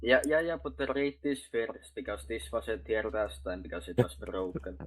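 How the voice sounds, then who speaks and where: A somewhat breathy voice at a moderate pace, with very wide pitch swings. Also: man, fairly low pitch for a man. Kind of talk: casual gaming chat, role-play. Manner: halting. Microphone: mic problems.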